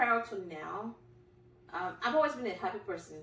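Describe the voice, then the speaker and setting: A woman is speaking in a room with audible echo. Noticeable noise sits in the background. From Nigeria. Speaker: podcast host. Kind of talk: casual interview.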